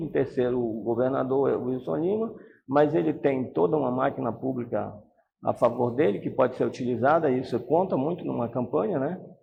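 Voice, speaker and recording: Speaking at a moderate pace, a man uses lively intonation. His pitch is medium. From Brazil, Pará (Santarém). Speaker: politician, retired police colonel. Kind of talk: interview. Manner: animated.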